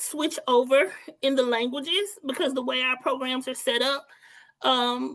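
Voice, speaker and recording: A woman speaks in a high pitch. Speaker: teacher. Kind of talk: webinar presentation. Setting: online webinar.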